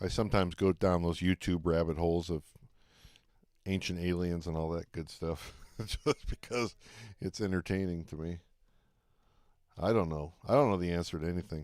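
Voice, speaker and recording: With an American accent and fairly even intonation, the speaker leaves long, frequent pauses in a very clean recording with a silent background. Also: man, very deep, low pitch for a man, moderate pace. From Detroit, Michigan, US. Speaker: live-streaming trader and recording artist. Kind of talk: live stream chat while trading.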